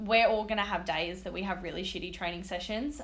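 A woman with an Australian accent speaks in a bright, sharp tone and fairly even intonation, and audible room echo can be heard. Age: 20s. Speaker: personal trainer. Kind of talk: casual chat.

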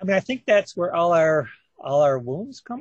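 A man talks at a moderate pace. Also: dry, close sound with no echo. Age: 50s. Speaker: horror author. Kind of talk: interview. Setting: radio show. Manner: halting, many fillers.

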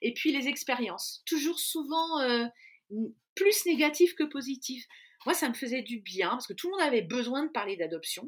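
Moving at a moderate pace, the voice makes very wide pitch swings. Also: woman, high pitch for a woman. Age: 50s. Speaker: adoptive mother. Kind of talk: testimony. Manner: halting.

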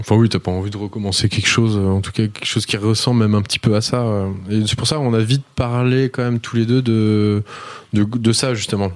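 A man speaks at a fairly quick pace in a fairly low, monotone voice with flat intonation. Noticeable background noise runs underneath. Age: 30s. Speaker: entrepreneur. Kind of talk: casual chat.

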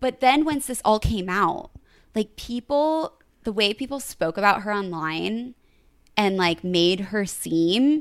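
The woman's voice is medium in pitch, with an animated tone and lively intonation. The recording is very clean, with a silent background. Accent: American. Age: 20s. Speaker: podcast host and entrepreneur. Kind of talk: casual chat.

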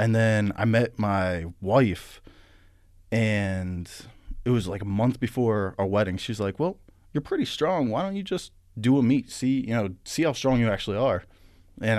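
A man with an American accent has an unremarkable speaking voice at medium pitch. He talks at a moderate pace with ordinary pitch variation against a quiet background. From western Pennsylvania. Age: 30s. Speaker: powerlifter. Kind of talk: casual chat. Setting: studio.

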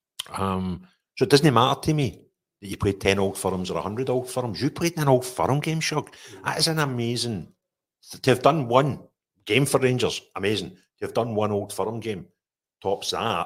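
A man with a west of Scotland accent speaks at a medium pitch with lively intonation. His loudness swings widely. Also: moderate pace. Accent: Scottish (west of Scotland). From Scotland, Renfrewshire (Paisley). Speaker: podcast host, youth football coach. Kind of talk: casual interview.

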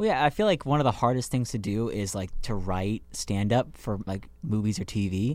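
In a normal speaking voice, a man talks at a medium pitch and moderate pace, with ordinary pitch variation and hardly any pauses. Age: 20s. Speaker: podcast co-host, student. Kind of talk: casual chat.

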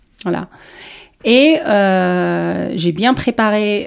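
A woman speaking at a very slow pace. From Tunisia. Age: 30s. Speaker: former politician. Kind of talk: interview. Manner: halting.

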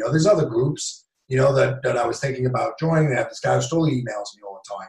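Speaking very fast with an American accent, this voice swings widely in loudness. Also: man. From New York. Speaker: real estate investor, former police officer. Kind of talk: interview.

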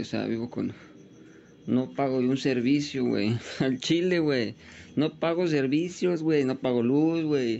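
At a fairly slow pace, a man with a Mexican accent speaks at a medium pitch with ordinary pitch variation. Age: 20s. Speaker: podcaster. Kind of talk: personal monologue. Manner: casual, slangy.

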